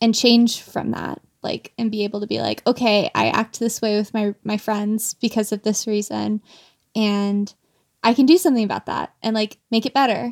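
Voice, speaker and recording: An ordinary speaking voice talks at a moderate pace with fairly even intonation. The sound is dry and close, with no echo. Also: woman, fairly high pitch for a woman. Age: 30s. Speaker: writer and audio producer. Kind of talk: casual chat.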